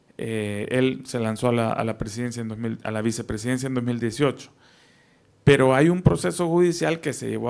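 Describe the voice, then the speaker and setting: A man at medium pitch speaks at a fairly slow pace. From El Salvador. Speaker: investigative journalist. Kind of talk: panel talk. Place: meeting room. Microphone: handheld.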